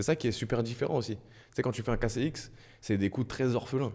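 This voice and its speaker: Moving at a fairly quick pace, a man speaks in a dark, mellow tone with vocal fry. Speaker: streamer. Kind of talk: casual live stream chat. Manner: soft-spoken.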